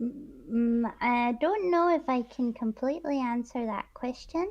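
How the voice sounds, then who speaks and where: The delivery is fairly slow. The intonation is lively. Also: woman, high pitch for a woman. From east coast of Scotland. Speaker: streamer guest. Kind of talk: casual chat.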